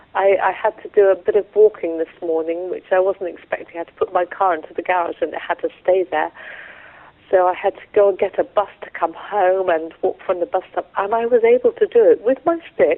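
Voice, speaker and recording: A woman at a fairly quick pace, in an English accent. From England. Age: 60s. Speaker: patient sharing experience. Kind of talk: interview testimony. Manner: halting.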